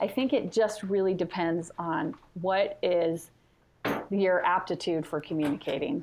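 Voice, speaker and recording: A woman of medium pitch talks at a fairly slow pace in an American accent. It is an unremarkable speaking voice with ordinary pitch variation. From California. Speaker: family history organization social media manager. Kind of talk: interview. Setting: phone call.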